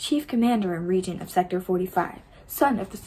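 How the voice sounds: The pitch moves in an ordinary way through this natural reading voice.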